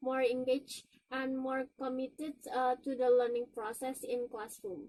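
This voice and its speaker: Speaking in an Indonesian accent, a woman has a dark, mellow tone, a high pitch and fairly even intonation. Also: moderate pace. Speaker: university student. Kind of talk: presentation. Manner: halting.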